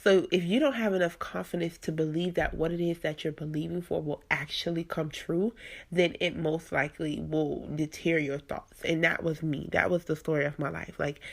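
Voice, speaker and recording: On a very clean recording with a silent background, a woman with a plain, everyday voice talks at a moderate pace in a fairly low pitch, with fairly even intonation and hardly any pauses. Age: 20s. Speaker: podcast host. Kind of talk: casual monologue. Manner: conversational, many fillers.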